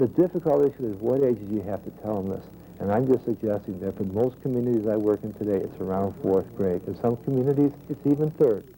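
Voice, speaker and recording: A man with a dark, mellow tone and a medium pitch speaks at a very fast pace with lively intonation and hardly any pauses. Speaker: health educator. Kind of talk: interview. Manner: energetic.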